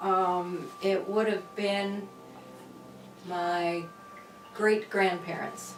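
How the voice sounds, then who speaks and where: Over music in the background, a woman talks at a medium pitch in a flat monotone with long, frequent pauses. Her loudness stays very even, and the room echo is audible. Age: 70s. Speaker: interviewee. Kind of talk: casual chat.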